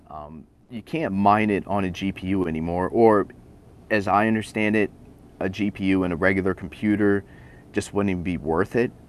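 His pitch is fairly low, with ordinary pitch variation. The man speaks with an American accent. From Iowa, US Midwest. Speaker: cryptocurrency enthusiast. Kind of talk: casual chat.

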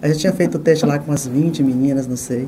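The woman talks at a fairly quick pace. Noticeable background noise and audible room echo surround her. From Bahia, Brazil (Itabuna). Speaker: TV journalist. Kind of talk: interview conversation.

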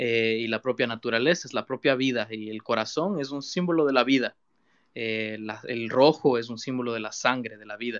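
A man with a plain, everyday voice speaks at a moderate pace with ordinary pitch variation, the sound dry and close with no echo over a quiet background. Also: medium pitch for a man, big swings in loudness. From Ecuador, Quito. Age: 20s. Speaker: digital artist. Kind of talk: interview conversation. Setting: live audio room online.

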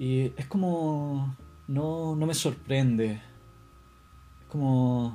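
Somewhat breathy, this man talks at medium pitch with ordinary pitch variation. He has a Chilean accent. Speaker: podcaster. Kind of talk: casual monologue.

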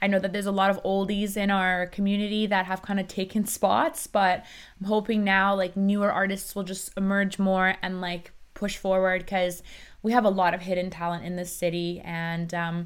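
In a very clean recording with a silent background, a woman with an ordinary speaking voice talks at a moderate pace and a medium pitch. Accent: Canadian. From Iran, then Vancouver, Canada from age seven. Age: 20s. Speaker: nightclub owner and event promoter. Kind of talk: casual interview chat. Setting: studio.

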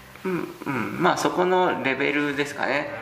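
A man's voice sits fairly high, with clear room echo and a good deal of background noise behind it. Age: 40s. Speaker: traditional gemstone carver. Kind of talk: casual interview.

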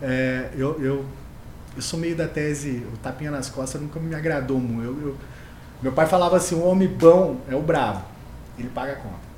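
Audible room echo accompanies a man speaking at a fairly high pitch. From interior of São Paulo state, Brazil (Mococa). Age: 30s. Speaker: finance executive and male pageant winner. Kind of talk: casual podcast interview.

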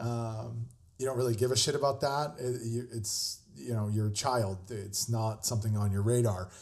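A somewhat breathy man's voice, medium in pitch, with ordinary pitch variation and a moderate pace. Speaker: podcast host, chef. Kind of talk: casual monologue. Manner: casual, halting with fillers.

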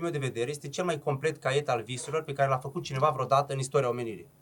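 A man talking at a very fast pace with ordinary pitch variation over noticeable background noise. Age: 30s. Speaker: entrepreneur, restaurant chain founder. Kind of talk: casual chat.

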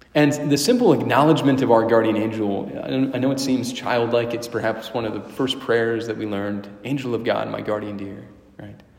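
With hardly any pauses, a man talks at a medium pitch in a warm tone, his loudness swinging widely over noticeable background noise. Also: ordinary pitch variation, moderate pace. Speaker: priest or prayer leader. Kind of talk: guided prayer, spoken aloud to God and then to the listeners. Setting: church, a Wednesday evening prayer gathering. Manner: reverent, warm and conversational, with hesitations and restarts.

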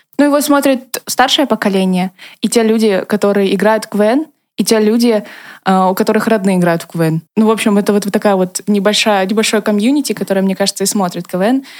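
With a plain, everyday voice, a woman talks at a fairly quick pace, her medium pitch showing ordinary variation. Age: 20s. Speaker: former student comedy performer, designer. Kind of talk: casual chat.

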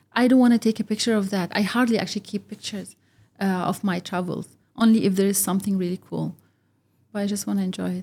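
A very fast-talking woman with a dark, mellow, somewhat breathy tone at medium pitch, on a very clean recording with a silent background. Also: fairly even intonation. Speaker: podcast guest, office professional. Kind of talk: casual interview chat. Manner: halting.

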